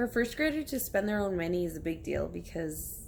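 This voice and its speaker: Audible room echo around a woman's moderate pace. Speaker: bilingual first grade teacher. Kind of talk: casual vlog chat. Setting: at home on her couch. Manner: casual, rambling.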